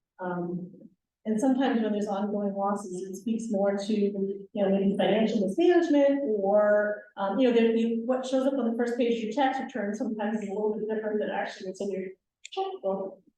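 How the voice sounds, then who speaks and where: Room echo can be heard around a woman's voice. She talks at a fairly quick pace with a fairly high pitch and ordinary pitch variation. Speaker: commercial bank lender. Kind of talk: workshop presentation. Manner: fast.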